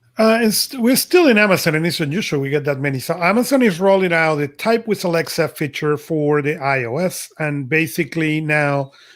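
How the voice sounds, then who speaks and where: Recorded very cleanly with a silent background, a man with a Spanish accent talks at a moderate pace in a fairly high pitch. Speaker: podcast co-host. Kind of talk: casual chat.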